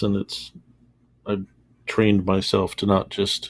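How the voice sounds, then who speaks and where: A man's fairly slow, monotone, flat delivery on a very clean recording with a silent background. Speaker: livestreamer drawing and chatting with viewers. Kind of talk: casual chat. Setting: live stream. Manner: pauses mid-sentence instead of stuttering.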